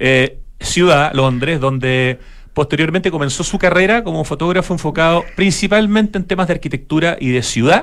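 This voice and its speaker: A man's high-pitched voice, ordinary pitch variation, moderate pace. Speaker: radio host. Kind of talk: radio interview. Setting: radio studio.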